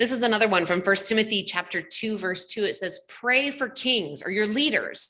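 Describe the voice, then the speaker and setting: A loud woman at a fairly quick pace. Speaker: lay preacher. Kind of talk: sermon.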